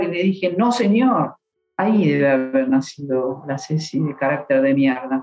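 With an Argentine accent, a woman speaks at a moderate pace. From Argentina. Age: 50s. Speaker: marketing professional. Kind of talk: interview storytelling. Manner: animated.

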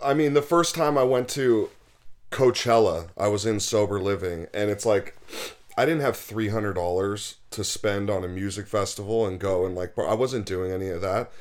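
A man's fairly low voice with an American accent, ordinary pitch variation and a moderate pace. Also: very clean recording, silent background. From Los Angeles. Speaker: sober living house founder. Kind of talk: casual interview. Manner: halting, many repeated words.

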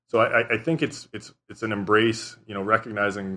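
Bright and sharp in tone, this voice moves at a moderate pace with a Canadian Prairies accent. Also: man. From southern Saskatchewan, Canada. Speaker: environmental and regulatory lawyer. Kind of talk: interview.

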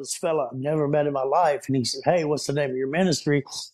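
A man with a Southern US accent speaks at a fairly high pitch with fairly even intonation. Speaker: podcast guest, nonprofit founder. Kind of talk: casual, religious. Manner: fervent, preacher-like.

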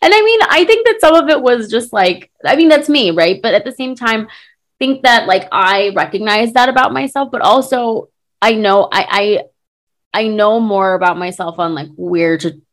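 With fairly high pitch, a woman speaks in an animated tone and lively intonation. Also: moderate pace. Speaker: podcast host. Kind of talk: casual chat. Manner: loud.

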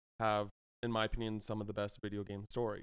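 Someone with an American accent talks at a very fast pace in a dry, close sound with no echo. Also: man. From US, British household. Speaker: video game writer. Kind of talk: casual chat.

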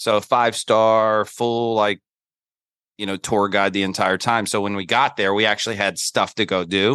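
A man with an American accent speaks at a moderate pace in a fairly low pitch, with monotone, flat intonation and a bright, sharp tone. The sound is dry and close with no echo, over a quiet background. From US South, Charlotte, North Carolina. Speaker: NFT podcaster and former sales executive. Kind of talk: casual chat.

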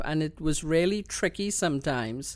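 A woman in a Trinidadian accent speaks with a very deep, low pitch at a fairly slow pace. The recording is very clean with a silent background. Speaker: queer elder, community activist. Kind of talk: interview. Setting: home studio. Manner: laughs often.

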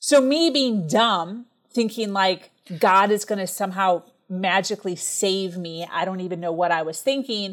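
A woman speaks at a moderate pace. Her pitch shows ordinary variation. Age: 30s. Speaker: entrepreneur and speaker. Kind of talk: interview testimony. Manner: high energy.

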